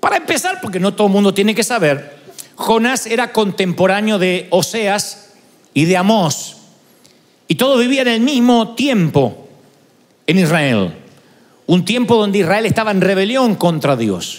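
Speaking at a fairly slow pace, a man uses lively intonation and long, frequent pauses. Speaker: preacher. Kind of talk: sermon. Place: church. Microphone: handheld.

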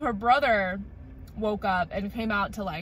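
A woman speaks at a moderate pace. The sound is dry with no echo. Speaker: vlogger. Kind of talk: casual vlog chat. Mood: bored, chatty storytelling. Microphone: phone near.

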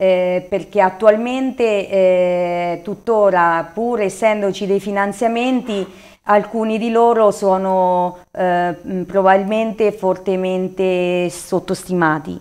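The intonation stays fairly even. This woman talks very slowly. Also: medium pitch for a woman. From Marche, Italy (Corridonia, Macerata province); Marche, Italy. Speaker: local election candidate and engineer; election candidate. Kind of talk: TV interview. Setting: studio. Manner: halting, many fillers. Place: studio. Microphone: lapel.

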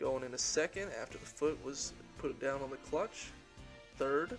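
There is music in the background as a man talks at a fairly slow pace. His intonation is lively. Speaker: student narrator. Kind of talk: tutorial.

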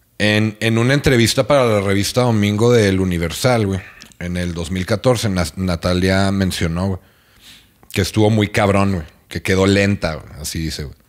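Against a quiet background, a man with a Mexican accent speaks at a moderate pace in a fairly low pitch with ordinary pitch variation. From Mexico. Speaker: podcast host. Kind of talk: casual chat. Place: home room. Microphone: studio mic.

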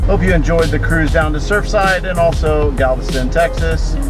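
A man speaks while clear music sounds in the background. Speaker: car vlogger. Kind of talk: casual vlog chat. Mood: amused, joking. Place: car. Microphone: phone near.

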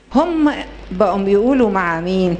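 Fairly slow speech from a woman over light background noise. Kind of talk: storytelling to an audience. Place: hall. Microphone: handheld.

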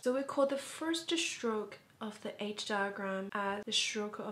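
A woman speaks at a medium pitch with a non-native accent. Her voice is somewhat breathy, with ordinary pitch variation. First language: not English. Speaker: educational vlogger. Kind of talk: educational talk to camera. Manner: casual.

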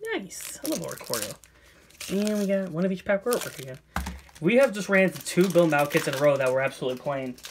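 The speech comes at a very fast pace over noticeable background noise. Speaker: Pokemon card YouTuber and seller. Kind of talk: casual video monologue while opening card boxes. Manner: casual, repetitive, chatty. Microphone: phone near.

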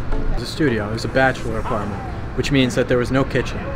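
Man's voice over background music. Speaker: host. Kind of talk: casual vlog chat. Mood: joking, playful storytelling. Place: street.

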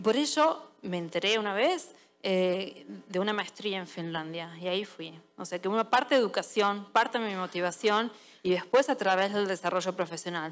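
A woman's lively intonation carries along at a moderate pace. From Argentina. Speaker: service designer and conference speaker; conference speaker. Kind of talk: audience Q&A; conference talk. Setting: stage with audience. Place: stage. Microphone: headset.

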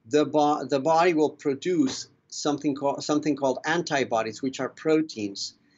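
A man speaks with ordinary pitch variation. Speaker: guest. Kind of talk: interview answer. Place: office. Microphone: video call.

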